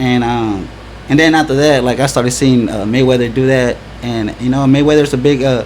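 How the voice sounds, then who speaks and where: A man of medium pitch speaks at a fairly quick pace with fairly even intonation. Audible room echo and noticeable background noise surround him. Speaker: event organizer. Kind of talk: casual chat. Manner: halting, repeats words.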